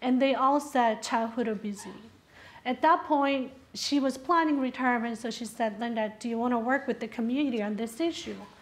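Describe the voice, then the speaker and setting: A woman speaks at a high pitch and a fairly quick pace. Her pitch varies in an ordinary way. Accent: Spanish. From South America. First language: Spanish. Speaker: health researcher. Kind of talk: panel presentation.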